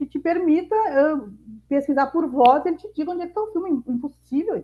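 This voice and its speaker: A woman speaks with a southern Brazilian accent. Her high pitch moves with lively intonation. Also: fairly quick pace. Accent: gaúcho. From Rio Grande do Sul interior, southern Brazil. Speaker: mentor and entrepreneur. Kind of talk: masterclass talk.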